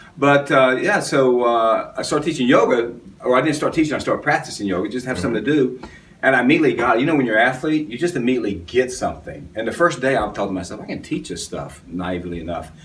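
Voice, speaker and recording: Speaking at a very fast pace with lively intonation, a man uses a medium pitch and an American accent. Audible room echo and noticeable background noise fill the recording. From US South. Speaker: yoga teacher and actor. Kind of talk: interview.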